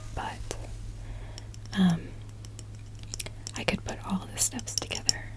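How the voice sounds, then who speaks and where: Over music in the background, a woman talks at a fairly slow pace in a gentle, relaxed tone. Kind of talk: ASMR gentle whispered talking. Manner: gentle, soft-spoken, relaxed.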